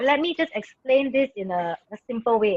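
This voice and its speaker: A woman speaks with a high pitch and very wide pitch swings. The sound is dry and close, with no echo. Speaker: network marketing presenter. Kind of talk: business presentation Q&A. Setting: video call. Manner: loud, excited.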